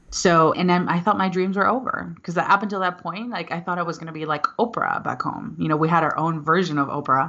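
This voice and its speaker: Over noticeable background noise, a woman with a fairly low pitch and ordinary pitch variation talks fairly quickly in an animated tone, with hardly any pauses. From Venezuela. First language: Spanish. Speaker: motivational speaker. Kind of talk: podcast interview.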